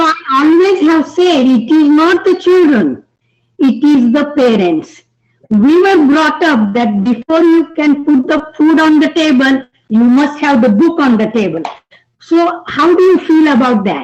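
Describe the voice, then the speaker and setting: A woman with an Indian accent speaks at a fairly slow pace in a high voice. Her intonation is lively and her loudness stays very even. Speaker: audience member asking a question. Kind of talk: audience question. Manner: halting.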